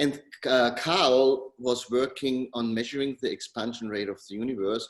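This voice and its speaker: A man with a German accent speaks at a moderate pace. His pitch is medium and his intonation fairly even. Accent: German-speaking. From Austria. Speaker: tech company co-founder. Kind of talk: interview.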